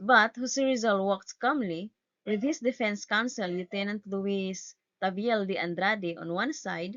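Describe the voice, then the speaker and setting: A woman with a non-native accent speaks fairly slowly at a medium pitch, with ordinary pitch variation. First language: not English. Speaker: student. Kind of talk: class report presentation. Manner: stuttering, halting.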